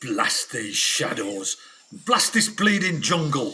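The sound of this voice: A man puts on a character voice pitched high for a man. He talks at a fairly slow pace.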